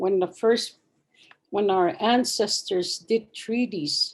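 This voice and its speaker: A woman speaks at a very slow pace with a medium pitch. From Saskatchewan, Canada (Cree, Treaty Six). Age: 70s. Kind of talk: talk, personal reflection.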